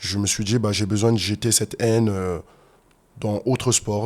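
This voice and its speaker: Moderate in pace, the speech flows along. It is a plain, everyday voice. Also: man. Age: 30s. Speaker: fitness and MMA coach. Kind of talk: interview, personal story. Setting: podcast studio.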